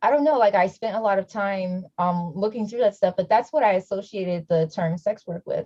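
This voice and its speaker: A somewhat breathy woman's voice with an American accent. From US Midwest, Milwaukee, Wisconsin. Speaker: panel speaker, sex worker. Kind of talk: panel discussion. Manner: casual, many fillers.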